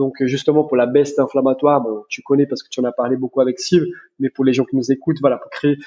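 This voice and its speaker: The man speaking has a fairly high pitch. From Brazil. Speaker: chiropractor. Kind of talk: interview conversation.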